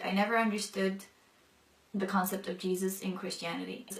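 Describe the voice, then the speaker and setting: Talking very fast, a woman speaks at a medium pitch. Noticeable background noise and audible room echo fill the recording. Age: 20s. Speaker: convert sharing her story. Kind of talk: testimony. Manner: casual, many fillers.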